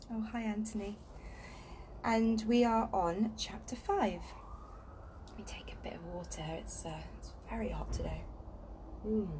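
With long, frequent pauses, a woman speaks at a fairly slow pace, her loudness swinging widely. Noticeable background noise is present. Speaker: reader of a children's book. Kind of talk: reading aloud a story. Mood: calm, relaxed. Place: garden. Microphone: phone near.

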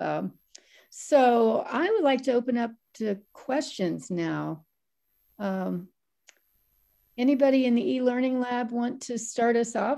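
A woman speaks at a high pitch in a dark, mellow tone with ordinary pitch variation. Her pace is very slow, broken by long, frequent pauses. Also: quiet background. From US Midwest, Ohio. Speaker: moderator and journalism editor; moderator. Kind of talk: moderating an online seminar. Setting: video call. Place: home room. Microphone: video call.

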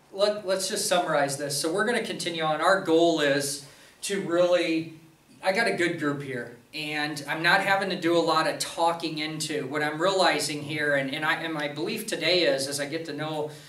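With audible room echo, a man with a fairly high pitch and a bright, sharp tone speaks at a moderate pace with ordinary pitch variation.

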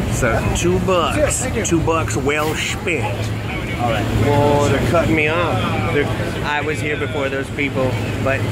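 Very slow speech with ordinary pitch variation over loud background noise. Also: man. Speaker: entertainer vlogger. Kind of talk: casual vlog chat. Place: street. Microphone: phone near.

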